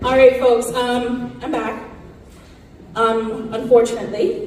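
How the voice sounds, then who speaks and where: Through noticeable background noise and audible room echo, a woman speaks at a fairly slow pace with a fairly high pitch. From Cayman Islands, Cayman Brac. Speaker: government representative. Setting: theater stage with audience.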